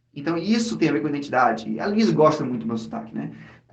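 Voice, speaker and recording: With a fairly high pitch, a man talks at a very fast pace in an animated tone with lively intonation, and audible room echo surrounds his voice. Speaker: podcast host. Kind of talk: casual chat.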